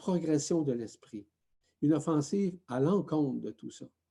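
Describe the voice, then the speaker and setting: This man's voice sits fairly high in pitch and carries a dark, mellow tone. He sounds somewhat breathy and talks at a fairly slow pace. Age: 60s. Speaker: spiritual teacher. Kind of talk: spiritual talk.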